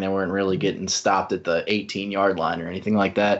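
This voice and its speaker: In a normal speaking voice, a man with a fairly low pitch goes at a fairly quick pace. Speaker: staff writer and sports podcast co-host. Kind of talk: casual sports podcast discussion.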